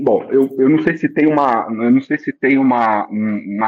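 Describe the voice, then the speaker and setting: A man speaks with ordinary pitch variation. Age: 40s. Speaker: business executive. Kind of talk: interview. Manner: hesitant with filler words.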